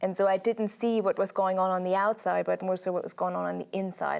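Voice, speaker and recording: On a very clean recording with a silent background, a woman speaks at a moderate pace with a German accent. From Germany. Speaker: sociologist. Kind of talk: TV interview.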